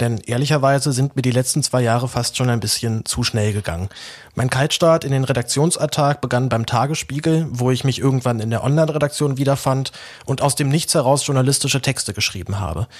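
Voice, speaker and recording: In a normal speaking voice, a man speaks at a fairly quick pace. His medium pitch shows ordinary variation. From Berlin, Germany. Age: 20s. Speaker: journalist and podcaster. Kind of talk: personal announcement monologue.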